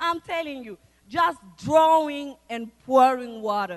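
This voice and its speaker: The intonation is lively. This woman talks at a very slow pace. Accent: non-native. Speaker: church member, mother, guest preacher. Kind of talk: sermon. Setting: church service with congregation.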